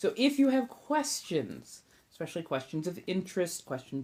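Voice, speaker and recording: A woman with an American accent speaks at a fairly slow pace in a dark, mellow tone, her pitch swinging very widely. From Southern California. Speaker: ASMR livestreamer and tarot reader. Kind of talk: casual livestream chat. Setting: livestream.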